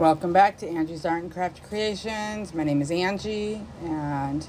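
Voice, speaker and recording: At a moderate pace, a woman speaks in a plain, everyday voice with medium pitch and ordinary pitch variation. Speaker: craft tutorial youtuber. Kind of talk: tutorial. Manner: casual.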